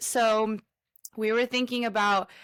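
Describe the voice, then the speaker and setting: A woman with an ordinary speaking voice talks at a fairly high pitch and a fairly slow pace. The recording is very clean with a silent background, and the sound is dry and close with no echo. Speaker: podcast co-host and college basketball player. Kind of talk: casual chat.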